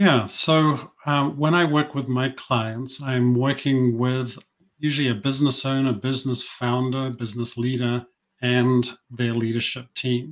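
Using fairly even intonation, a man with a New Zealand accent talks at a fairly slow pace and medium pitch. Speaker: business coach. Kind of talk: interview conversation.

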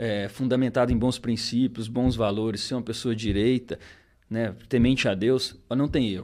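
In a very clean recording with a silent background, a man with an unremarkable speaking voice talks at a moderate pace and medium pitch, his intonation fairly even. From southern Minas Gerais, Brazil (rural). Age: 30s. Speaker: entrepreneur, accident survivor. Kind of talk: casual interview chat. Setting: studio, livestreamed podcast.

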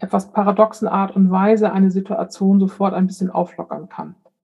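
This woman speaks at a medium pitch in a monotone, flat intonation. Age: 50s. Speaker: death doula. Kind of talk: interview.

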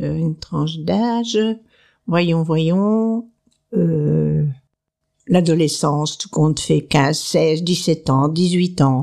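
Speaking very slowly with long, frequent pauses, a woman has a very deep, low pitch, a dark, mellow tone and ordinary pitch variation, recorded very cleanly against a silent background. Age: 80s+. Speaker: retired sewing teacher, host's grandmother. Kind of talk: casual interview.

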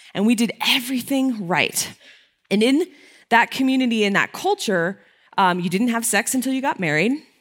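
A woman's normal speaking voice with an American accent, fairly high pitch, lively intonation and a moderate pace, on a very clean recording with a silent background. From Connecticut. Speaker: digital marketing speaker. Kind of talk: conference talk. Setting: stage with audience.

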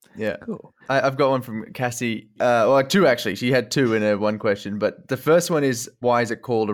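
Fairly quick male speech in a normal speaking voice with ordinary pitch variation, on a very clean recording with a silent background. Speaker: podcast host. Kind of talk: casual interview.

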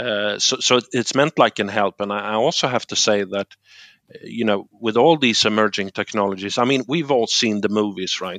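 With a Swedish accent, a man talks at a moderate pace and fairly low pitch with ordinary pitch variation, the sound dry and close with no echo over a quiet background. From Sweden, Gothenburg. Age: 40s. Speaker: tech industry manager. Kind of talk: podcast interview.

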